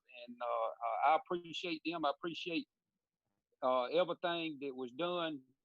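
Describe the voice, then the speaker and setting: This man speaks with a Southern US accent and a fairly high pitch. His pace is moderate. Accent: Southern US (Georgia). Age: 40s. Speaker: radio show co-host. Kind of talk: casual chat.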